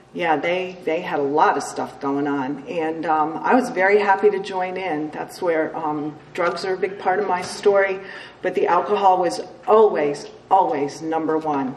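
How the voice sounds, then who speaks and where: A woman with an American accent speaks in a fairly low pitch with ordinary pitch variation. Audible room echo and noticeable background noise are present. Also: moderate pace. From upstate New York (Cooperstown). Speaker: recovering alcoholic, AA speaker. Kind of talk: testimony. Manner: casual, many fillers.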